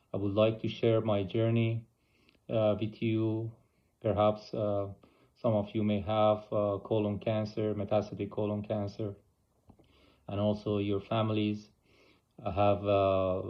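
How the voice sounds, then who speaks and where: With an Iranian accent, a man speaks in a fairly low, monotone, flat voice at a fairly slow pace, leaving long, frequent pauses. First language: Persian. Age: 40s. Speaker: oncologist and cancer patient. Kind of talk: personal video blog. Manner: halting, many fillers.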